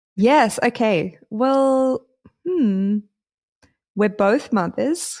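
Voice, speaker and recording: With an Australian accent, a woman speaks at a very slow pace with lively intonation, fairly high pitch, and long, frequent pauses, in a very clean recording with a silent background. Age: 30s. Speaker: DJ and podcast co-host. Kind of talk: casual chat.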